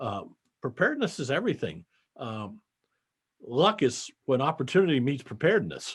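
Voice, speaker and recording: A man speaks in a somewhat breathy, fairly high voice with very wide pitch swings. He leaves long, frequent pauses against a quiet background. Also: moderate pace. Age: 70s. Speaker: accountant and business founder. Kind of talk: interview conversation.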